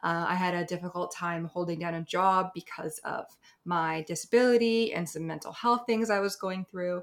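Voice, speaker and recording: This is an ordinary speaking voice with ordinary pitch variation, heard on a very clean recording with a silent background. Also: woman. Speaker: sex worker and content creator. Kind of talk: interview.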